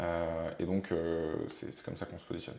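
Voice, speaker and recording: A man's dark, mellow voice at a fairly quick pace, with audible room echo. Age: 20s. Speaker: startup investor and co-founder. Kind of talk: casual interview. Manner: hesitant, many fillers.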